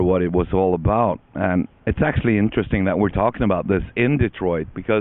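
The man's voice sits fairly low in pitch, and the sound is dry with no echo. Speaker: interviewee. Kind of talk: interview answer. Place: open country. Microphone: handheld.

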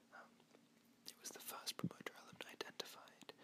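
Noticeable background noise fills the clip. The speaker whispers throughout. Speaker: biochemistry student ASMR creator. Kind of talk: educational ASMR whisper lecture. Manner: whispered, soft-spoken.

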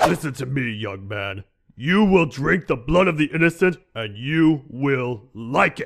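A man speaks at a fairly slow pace in a put-on character voice of medium pitch. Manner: stern, menacing.

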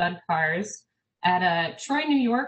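Speaking at a fairly slow pace, a woman with an American accent sounds somewhat breathy. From US, South Dakota. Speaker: archivist; presenter. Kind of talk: conference presentation. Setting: online video conference. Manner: hesitant, many fillers. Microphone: webcam.

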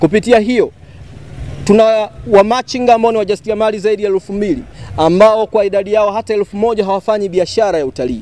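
A man talks at a very fast pace with a high pitch. His intonation is fairly even, and the sound is dry with no echo. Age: 30s. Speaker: parliamentary aspirant and journalist; journalist. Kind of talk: press statement. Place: street. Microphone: lapel.

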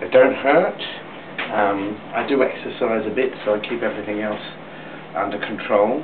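With long, frequent pauses and ordinary pitch variation, a man speaks at a moderate pace against noticeable background noise. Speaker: vlogger sharing cosmetic surgery experience. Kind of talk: personal video update. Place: bathroom. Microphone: webcam.

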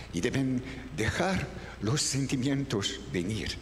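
A man's fairly high voice in a French accent, very slow, with lively intonation and light background noise. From France. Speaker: voice actor, dubbing director and teacher. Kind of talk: masterclass talk on dubbing technique. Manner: conversational, thoughtful, searching for words. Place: hall.

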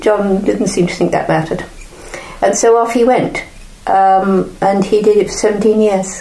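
A woman with a medium pitch talks over noticeable background noise, her voice carrying audible room echo. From North Devon, England. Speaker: photographer's widow. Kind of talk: interview.

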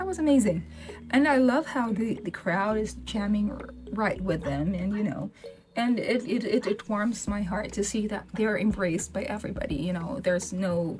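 A woman speaks at a moderate pace with lively intonation. Light background noise can be heard. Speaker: reaction video host. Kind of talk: casual vlog chat. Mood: warm, enthusiastic. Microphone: webcam.

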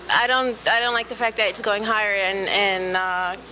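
Clear background noise sits behind a woman with a medium pitch. She speaks at a moderate pace with little pitch movement.

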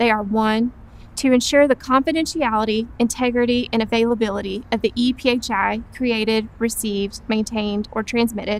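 At a moderate pace, a woman talks with fairly even intonation, the sound dry with no echo. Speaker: presenter. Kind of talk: scripted training presentation. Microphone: lapel.

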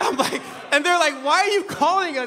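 With an American accent, the voice is raised and projected at a fairly quick pace. Light background noise sits behind it. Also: man. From Los Angeles County, Nigerian family. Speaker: preacher. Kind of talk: sermon. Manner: animated storytelling. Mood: humorous anecdote. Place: church. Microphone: podium.

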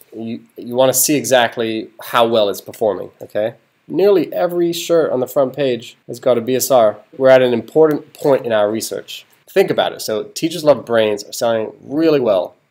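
A man speaks at a moderate pace with ordinary pitch variation and big swings in loudness. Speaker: online seller tutor. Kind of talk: tutorial. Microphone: webcam.

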